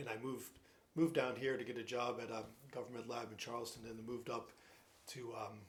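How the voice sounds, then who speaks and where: With a northern US accent, a man talks at a very fast pace and medium pitch, broken by long, frequent pauses, in a room with audible echo. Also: fairly even intonation. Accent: northern US (Yankee). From New Jersey. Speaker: retired scientist, piano student. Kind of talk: casual interview. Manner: halting, many fillers and repeats.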